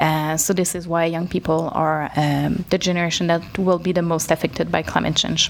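A woman with a Quebec accent speaks at a fairly low pitch in a flat, monotone way. She keeps a moderate pace with hardly any pauses over noticeable background noise. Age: 20s. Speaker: NGO executive director. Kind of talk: interview. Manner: hesitant, many fillers.

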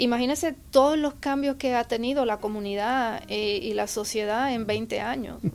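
In an ordinary speaking voice with ordinary pitch variation, the speaker keeps a moderate pace with hardly any pauses. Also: woman, fairly high pitch for a woman. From Puerto Rico. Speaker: forensic psychologist. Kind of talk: interview.

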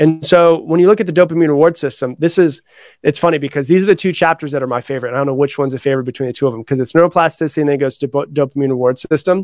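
Very fast delivery with hardly any pauses, ordinary pitch variation and an American accent, in a dry, close sound with no echo over a quiet background. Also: man, fairly high pitch for a man. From Florida. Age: 30s. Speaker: author and personal development coach. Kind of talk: interview.

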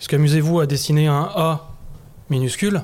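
The speaker is a man with a fairly high pitch. His voice is somewhat breathy. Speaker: masonic grand master. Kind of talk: discussion. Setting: in front of a live audience.

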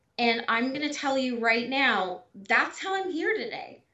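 A woman with a high pitch speaks in a Californian accent. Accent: Californian American English. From Southern California. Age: 40s. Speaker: abuse survivor. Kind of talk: casual interview.

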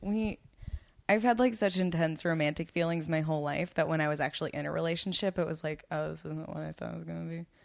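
Using a plain, everyday voice, a woman with an American accent speaks at a fairly quick pace and a fairly low pitch. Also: big swings in loudness. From Long Island, New York. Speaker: comedian. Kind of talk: casual chat. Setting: home.

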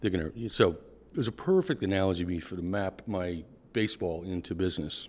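A man with a Boston accent talks at a very fast pace in a very deep, low pitch. His tone is dark and mellow, with ordinary pitch variation. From Boston, US Northeast. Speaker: product executive at energy data company. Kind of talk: casual interview conversation.

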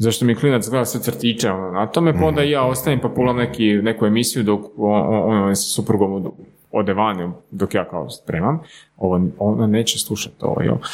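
This man has an unremarkable speaking voice, fairly low in pitch, and talks at a fairly quick pace with ordinary pitch variation. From Slavonski Brod, Croatia. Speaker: startup co-owner. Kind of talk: casual chat.

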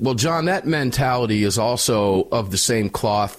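Moving at a moderate pace, a man speaks at a medium pitch with lively intonation. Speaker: gun rights radio host. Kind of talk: talk radio show. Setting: studio. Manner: loud.

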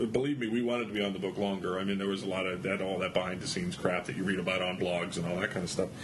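A man's fairly low, fairly even-toned voice with audible room echo and noticeable background noise. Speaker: comic book artist. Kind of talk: interview.

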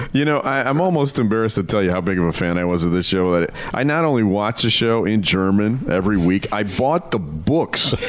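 Lively intonation at a fairly quick pace, very even loudness, noticeable background noise. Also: man, fairly low pitch for a man. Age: 50s. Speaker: podcast host. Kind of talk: interview.

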